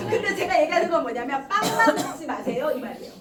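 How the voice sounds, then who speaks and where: Amid noticeable background noise and audible room echo, a woman speaks fairly quickly in an animated tone at a high pitch, with very wide pitch swings. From South Korea, Gumi (Gyeongsang). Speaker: network marketing leader and seminar speaker. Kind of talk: motivational business seminar talk. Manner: animated, exhorting.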